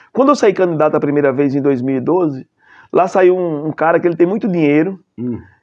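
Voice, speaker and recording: Fairly quick speech from a man, quiet background behind him. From Bahia, Brazil. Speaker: city councillor. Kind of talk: interview conversation. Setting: studio. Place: studio. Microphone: lapel.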